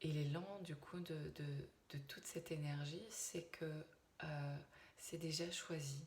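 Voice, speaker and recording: A soft-spoken woman talks at a very slow pace with a very deep, low pitch. Her voice is somewhat breathy and her intonation fairly even. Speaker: medium. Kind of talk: channeled spiritual message. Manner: halting, many hesitations. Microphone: viewers say too quiet.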